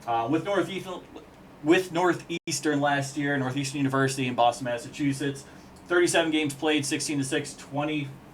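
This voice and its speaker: A man talks at a fairly quick pace, his fairly high pitch held in a fairly even intonation. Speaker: hockey commentator. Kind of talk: casual video analysis. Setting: on camera at home with whiteboard. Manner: fast.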